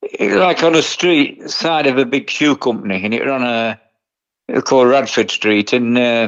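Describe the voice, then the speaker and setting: A man with an East Midlands accent talks at a moderate pace and medium pitch, with ordinary pitch variation. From England, Nottinghamshire. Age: 70s. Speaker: retired tattoo artist. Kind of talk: interview. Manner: casual, conversational.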